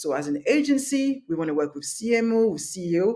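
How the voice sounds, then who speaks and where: In a French accent, a woman speaks with very wide pitch swings. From France, Paris. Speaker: masterclass instructor, business owner. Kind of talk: online workshop.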